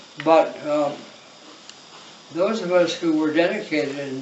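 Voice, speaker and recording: A man at a fairly high pitch and fairly slow pace, with ordinary pitch variation, noticeable background noise and audible room echo. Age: 90s. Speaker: monk. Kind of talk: reminiscing talk. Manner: halting.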